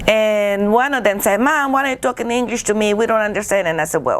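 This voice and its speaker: Her pitch fairly high with ordinary variation, a woman talks at a fairly quick pace. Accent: Guatemalan. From Guatemala. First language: Spanish. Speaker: painter. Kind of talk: casual interview chat. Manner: halting, repeats words.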